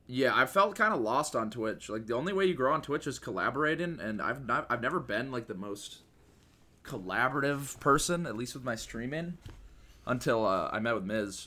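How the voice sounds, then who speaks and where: A man with an American accent, medium in pitch, bright and sharp in tone, with lively intonation at a fairly quick pace. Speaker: speedrunner and content creator. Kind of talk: casual chat.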